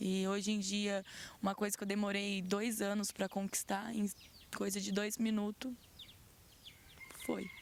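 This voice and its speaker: A woman talks at a fairly slow pace with long, frequent pauses. Her intonation is monotone and flat, and her loudness stays very even. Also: medium pitch for a woman. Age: 20s. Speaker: crime victim, worker. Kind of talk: interview testimony.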